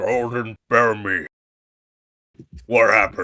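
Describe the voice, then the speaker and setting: A man talks in a put-on character voice that sounds raspy. His pace is fairly slow. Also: medium pitch for a man. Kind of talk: comic character voice. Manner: exaggerated, put-on.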